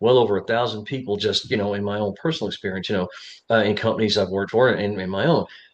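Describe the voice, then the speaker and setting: In a quiet background, a man has a plain, everyday voice, fairly low in pitch with ordinary pitch variation. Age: 60s. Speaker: job interview coach. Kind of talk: casual talk to camera. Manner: conversational, many fillers.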